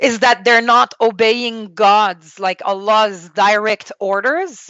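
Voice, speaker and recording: Slowish and fairly high in pitch, a woman talks in a Quebec accent with fairly even intonation. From Quebec, Canada. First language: French. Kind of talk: interview testimony.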